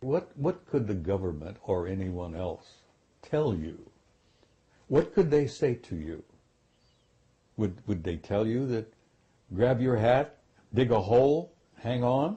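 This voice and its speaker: The speaker has an American accent and a somewhat breathy voice. Delivery is very slow, with long, frequent pauses and very wide pitch swings. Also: man, medium pitch for a man. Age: 70s. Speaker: retired military officer, UFO disclosure speaker. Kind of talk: interview.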